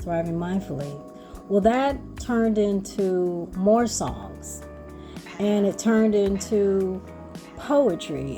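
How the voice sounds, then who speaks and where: Music in the background behind a woman talking at a very slow pace. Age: 60s. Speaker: spoken word artist and mindfulness educator. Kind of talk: casual talk to camera.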